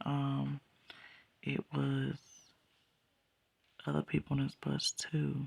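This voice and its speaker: At a very slow pace, a soft-spoken voice is heard. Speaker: dream sharer. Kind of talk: testimony.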